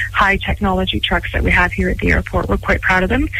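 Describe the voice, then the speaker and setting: A woman with a western Canadian accent against noticeable background noise. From Canada, Vancouver Island. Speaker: airport executive. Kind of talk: radio interview.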